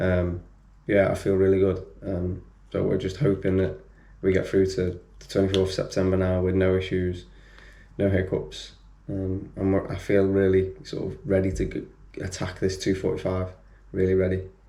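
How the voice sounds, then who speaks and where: In a quiet, somewhat breathy voice with a dark, mellow tone, a man speaks with a British accent at a moderate pace. His very deep, low pitch stays monotone and flat, and the room echo is audible. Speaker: running vlogger, amateur marathon runner. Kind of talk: casual vlog talk to camera. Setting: home, others asleep. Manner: quiet, keeping voice down; hesitant, many fillers.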